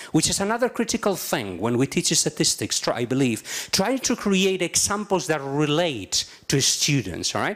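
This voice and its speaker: At a moderate pace, a man with a Spanish accent speaks with very wide pitch swings. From Spain. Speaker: journalism professor. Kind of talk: conference talk. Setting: stage with audience.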